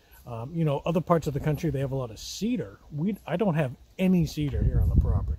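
A man talking at a very fast pace with lively intonation, dry sound with no echo, and light background noise. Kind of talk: casual vlog chat. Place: forest. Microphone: phone near.

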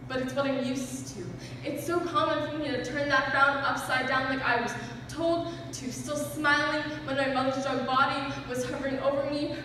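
A man projects his voice loudly, extremely high for a man, in a monotone, flat delivery at a moderate pace. Strong room echo and light background noise fill the recording. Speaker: slam poet. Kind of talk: slam poetry performance. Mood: earnest, emotional. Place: hall.

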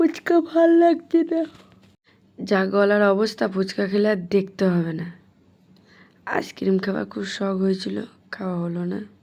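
A woman's dark, mellow tone moves through very wide pitch swings in a very clean recording with a silent background. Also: medium pitch for a woman. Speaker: vlogger. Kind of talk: casual vlog narration. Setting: outdoors.

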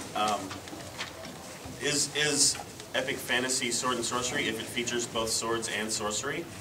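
The speaker is a man. He keeps a moderate pace while loud background noise fills the recording. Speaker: panelist. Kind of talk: panel discussion answer. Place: hall. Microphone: camera far.

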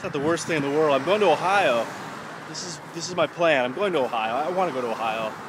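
Talking very fast with lively intonation, a man comes through dry with no echo, over noticeable background noise. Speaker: video blogger. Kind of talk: casual vlog chat. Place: street. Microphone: phone near.

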